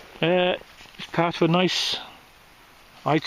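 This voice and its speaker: Noticeable background noise fills this clip. Through it, a man talks. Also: dry, close sound with no echo. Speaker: metal detectorist. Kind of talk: casual vlog commentary. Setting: outdoors.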